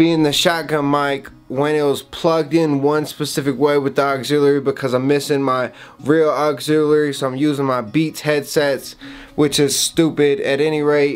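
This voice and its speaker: A man at a moderate pace with monotone, flat intonation, and faint music in the background. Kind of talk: casual vlog chat. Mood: frustrated, self-mocking. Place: home room. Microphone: lapel.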